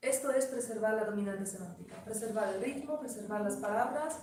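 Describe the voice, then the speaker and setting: A woman speaks with a Polish accent, her pitch fairly high and its variation ordinary. Room echo is audible. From Poland. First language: Polish (speaking Spanish). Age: 50s. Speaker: poet and translator. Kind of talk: lecture. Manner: halting.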